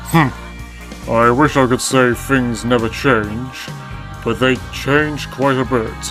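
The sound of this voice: A man uses a put-on character voice at medium pitch. He goes at a fairly slow pace over clear background music.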